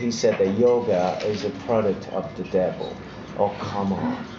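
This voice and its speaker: A man with an Italian accent speaks amid noticeable background noise and audible room echo. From Italy. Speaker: actor. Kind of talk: interview. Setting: fan convention.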